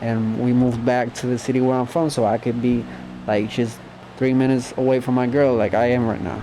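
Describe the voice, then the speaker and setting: Speaking fairly quickly in a flat monotone, a man with a Spanish accent is heard over noticeable background noise. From Puerto Rico. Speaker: YouTuber. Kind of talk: storytime monologue. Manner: casual.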